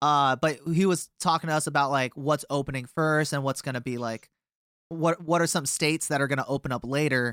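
With a very clean recording, a silent background and a dry, close sound with no echo, a man speaks in a plain, everyday voice at a fairly high pitch with fairly even intonation. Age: 20s. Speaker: musician in a band. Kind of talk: casual interview.

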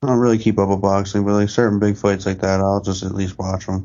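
At a fairly quick pace, a man speaks in a fairly low pitch. His intonation is monotone and flat. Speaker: podcast co-host. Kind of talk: casual chat.

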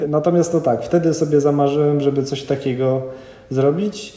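Amid noticeable background noise and audible room echo, a man speaks at a fairly high pitch and moderate pace with fairly even intonation. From northern Poland, Kwidzyn. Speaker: ultramarathon runner. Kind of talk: casual interview. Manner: halting, with fillers and repetitions.

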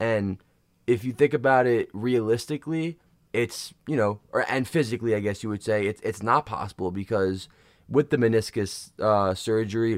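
Recorded very cleanly against a silent background, a man with a normal speaking voice talks at a moderate pace and medium pitch, the sound dry and close with no echo. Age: 20s. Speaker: fitness podcast co-host and coach. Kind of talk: casual chat.

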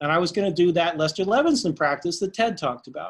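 A man at a high pitch, very fast pace and lively intonation. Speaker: meditation practitioner. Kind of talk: casual group discussion. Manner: animated.

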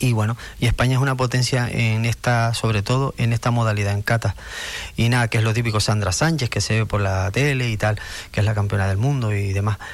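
This man has an unremarkable speaking voice, talking at a medium pitch and a fairly quick pace with fairly even intonation and very even loudness. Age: 50s. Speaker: karate coach and sports director. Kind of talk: radio interview.

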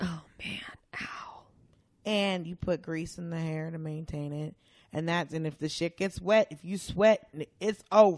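With an American accent, a woman of fairly low pitch speaks fairly slowly in a normal speaking voice, her intonation fairly even but her loudness swinging widely, against a quiet background. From US South (Atlanta, Georgia). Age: 30s. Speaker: comedian. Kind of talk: casual chat.

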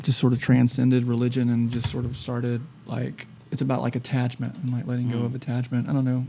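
Speaking very fast with a Southern US accent, this man has a medium pitch and a dark, mellow tone. His delivery is monotone and flat, and somewhat breathy. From US South, Shreveport, Louisiana. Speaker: singer-songwriter. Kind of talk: casual interview chat. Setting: quiet front bar of a music venue. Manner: relaxed, halting with fillers.

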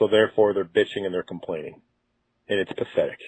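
Here a man speaks with fairly even intonation. His pitch is fairly low. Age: 30s. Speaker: caller. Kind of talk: voicemail. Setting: phone call.

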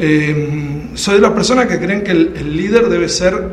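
Noticeable background noise and audible room echo around lively intonation. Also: man. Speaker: political commentator. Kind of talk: casual political discussion. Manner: halting.

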